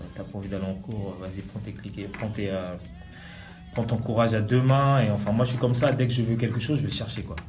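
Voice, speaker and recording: With music in the background and audible room echo, a man of medium pitch talks at a fairly quick pace with fairly even intonation. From Republic of the Congo (Brazzaville, Pointe-Noire). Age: 20s. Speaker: DJ. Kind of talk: interview. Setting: in-person recording.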